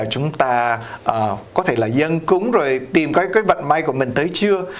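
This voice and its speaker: A man with an ordinary speaking voice, fairly high pitch, lively intonation and moderate pace. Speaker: priest and TV host. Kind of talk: interview on community news show. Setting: video studio. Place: studio. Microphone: lapel.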